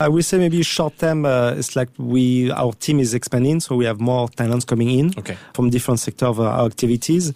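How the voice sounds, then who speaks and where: Speaking at a fairly quick pace with hardly any pauses, a man with a medium pitch and a dark, mellow tone shows ordinary pitch variation. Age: 40s. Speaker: entrepreneur, former triathlete. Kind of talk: interview. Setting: studio. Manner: halting.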